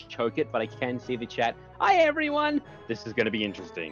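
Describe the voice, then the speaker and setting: With an Australian accent, a man talks with ordinary pitch variation in a dry sound with no echo, faint music playing in the background. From Sydney, Australia. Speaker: multiplayer game guest on a stream. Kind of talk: casual live stream chat. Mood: upbeat, expectant. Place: home room.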